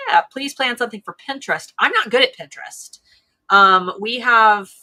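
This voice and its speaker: Bright and sharp in tone, a woman speaks in an American accent. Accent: Ohio accent, sometimes a little Southern. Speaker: live stream co-host for a seller tools company. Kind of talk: casual chat.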